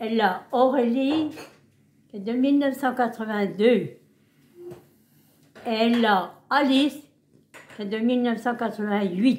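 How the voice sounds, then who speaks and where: Speaking very slowly with long, frequent pauses, a woman has a fairly high pitch and ordinary pitch variation. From eastern France, Haute-Saône. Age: 90s. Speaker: great-grandmother interviewed by family. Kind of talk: casual family interview.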